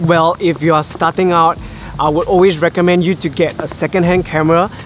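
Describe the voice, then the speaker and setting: Over music in the background, a man with a high pitch speaks at a fairly quick pace in a monotone, flat intonation. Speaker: travel vlogger and filmmaker. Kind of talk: Q&A vlog. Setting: outdoors in the rain, then his room.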